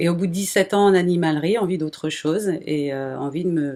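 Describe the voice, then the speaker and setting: A fairly quick pace with ordinary pitch variation. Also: woman. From Brittany, France (near Rennes). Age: 40s. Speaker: small animal breeder. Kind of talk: interview. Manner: hesitant, many fillers.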